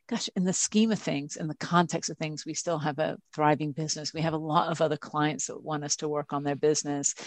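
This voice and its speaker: A woman talks at a fairly quick pace. Her pitch is very deep and low. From Britain. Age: 40s. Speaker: advertising executive. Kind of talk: interview.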